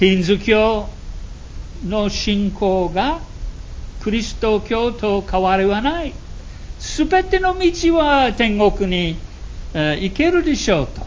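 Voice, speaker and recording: Over noticeable background noise, the speaker goes at a very slow pace with long, frequent pauses. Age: 80s+. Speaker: preacher. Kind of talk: sermon. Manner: halting, many fillers.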